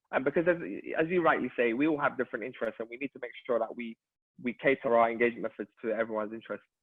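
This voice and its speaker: Speaking very fast with a London accent, a man uses a medium pitch and ordinary pitch variation. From London, Hackney. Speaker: local councillor and charity chief executive. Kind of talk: virtual event discussion.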